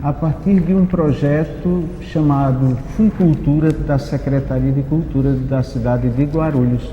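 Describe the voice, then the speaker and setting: A man's voice at a fairly slow pace, with hardly any pauses, very even loudness and ordinary pitch variation, over noticeable background noise. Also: fairly high pitch for a man. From Brazil, Paraíba (Northeast). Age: 60s. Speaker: poet and cultural producer. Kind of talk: panel discussion.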